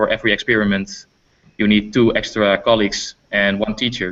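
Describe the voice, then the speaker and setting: A man's fairly low, flat, monotone voice with a Dutch accent at a fairly quick pace. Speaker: teacher. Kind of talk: interview. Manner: halting.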